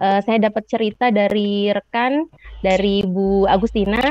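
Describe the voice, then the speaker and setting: The delivery has a moderate pace and ordinary pitch variation. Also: woman. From Lampung, Sumatra, Indonesia. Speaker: university lecturer in social studies education. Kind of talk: webinar presentation. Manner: frequent fillers, hesitant.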